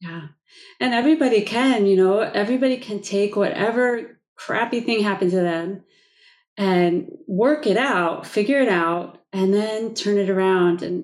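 A woman with an ordinary speaking voice, medium in pitch, with ordinary pitch variation, at a moderate pace, in a very clean recording over a silent background. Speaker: podcast host. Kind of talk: interview.

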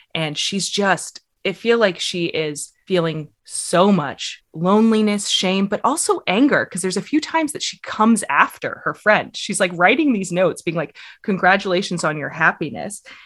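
An American accent marks this woman's ordinary speaking voice, with medium pitch, lively intonation, a moderate pace and hardly any pauses, on a very clean recording with a silent background. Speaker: podcast host. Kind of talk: casual chat discussing short stories.

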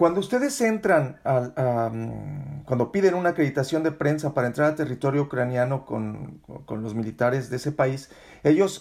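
Speaking with an ordinary speaking voice, a man keeps a moderate pace and ordinary pitch variation. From Mexico. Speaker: podcast host, journalist. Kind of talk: interview.

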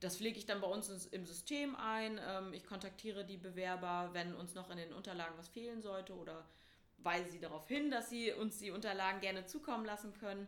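A woman speaks at medium pitch and a fairly quick pace with ordinary pitch variation. Audible room echo surrounds her voice. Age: 20s. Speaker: tutor and yoga teacher. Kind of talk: interview.

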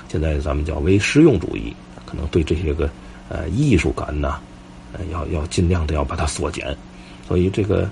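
Through noticeable background noise, a man with a very deep, low pitch talks at a moderate pace, taking long, frequent pauses. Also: ordinary pitch variation. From Tianjin, Xibeijiao area. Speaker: podcast host, local history storyteller. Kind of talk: casual storytelling monologue. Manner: halting, with frequent fillers.

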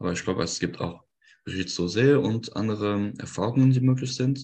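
The man talks at a moderate speed. Ordinary variation marks his pitch. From France, Lorraine. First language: French (speaking German). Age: 20s. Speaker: electrical engineer. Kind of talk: interview. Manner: halting, many fillers.

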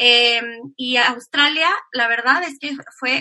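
Very slowly, a woman talks in a high-pitched voice. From Mexico. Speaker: emigrant interviewee. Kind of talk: casual interview.

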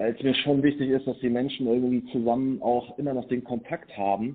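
Medium pitch from a man in a normal speaking voice. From Germany, Sauerland (Lüdenscheid). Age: 30s. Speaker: agency owner and volunteer. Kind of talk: interview. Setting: phone call.

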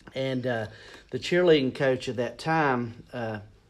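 A man speaks with audible room echo. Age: 40s. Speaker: school mascot performer and children's ministry leader. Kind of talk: casual interview.

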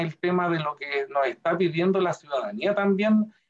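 At a moderate pace, a man speaks with a high pitch. His pitch variation is ordinary. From Chile, Curicó. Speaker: museum director and art conservator. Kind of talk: interview conversation.

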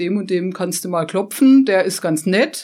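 A woman talks at a fairly slow pace in an ordinary speaking voice, with ordinary pitch variation on a very clean recording with a silent background. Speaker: photographer. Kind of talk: interview. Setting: studio.

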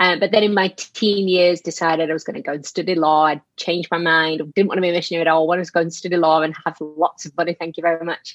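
A woman's very fast talk in a strong Yorkshire accent, fairly low in pitch, monotone and flat, with hardly any pauses. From Yorkshire, northern England. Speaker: charity worker, missions and anti-trafficking. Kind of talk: interview conversation, faith testimony.

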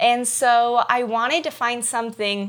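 Bright and sharp in tone, a woman's fairly high voice carries fairly even intonation on a very clean recording with a silent background. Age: 20s. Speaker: missionary. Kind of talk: testimony.

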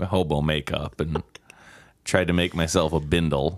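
A man's very deep, low voice with an American accent, monotone and flat, at a moderate pace. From US Midwest, Milwaukee. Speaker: improv performer and instructor. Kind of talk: casual chat.

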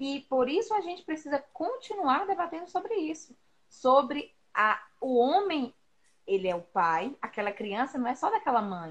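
With very wide pitch swings, a woman speaks in a high pitch at a moderate pace. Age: 30s. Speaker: teacher and mother. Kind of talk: casual chat. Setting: Instagram live stream.

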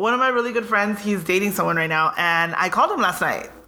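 With an American accent, a woman speaks at a very fast pace in an animated tone over noticeable background noise. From Southern California, Pico Rivera. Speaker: podcast co-host. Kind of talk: casual chat.

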